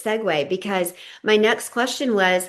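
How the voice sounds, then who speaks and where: Against a quiet background, a woman with a plain, everyday voice and a fairly high pitch speaks at a fairly slow pace. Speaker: podcast host. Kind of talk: interview question.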